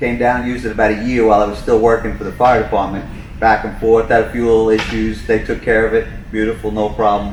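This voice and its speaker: A man with a strong New York accent at a very fast pace, medium pitch, monotone and flat intonation, with audible room echo and noticeable background noise. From New York, Long Island. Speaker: boat service manager, retired firefighter. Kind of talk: casual chat.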